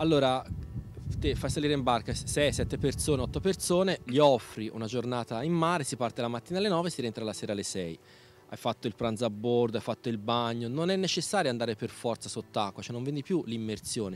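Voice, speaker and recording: A man talks at a fairly quick pace in a dry sound with no echo, faint music playing behind him. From Italy, mountain village. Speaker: former soldier turned boat tour operator. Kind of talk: interview; interview answer. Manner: halting. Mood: earnest, somewhat concerned. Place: waterside. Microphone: handheld.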